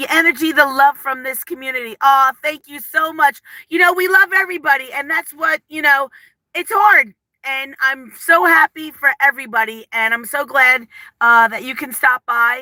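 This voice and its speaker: Raised, projected female voice in an East Coast accent, high-pitched with a bright, sharp tone, ordinary pitch variation, big swings in loudness and a moderate pace, dry and close with no echo. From New Jersey. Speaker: lifestyle vlogger. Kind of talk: casual live stream chat. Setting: live stream. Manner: animated.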